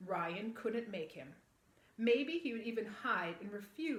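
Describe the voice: Lively intonation runs through plain reading aloud.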